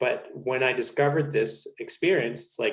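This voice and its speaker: A man speaks with a Spanish accent. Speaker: naturism content creator. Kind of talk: casual interview conversation.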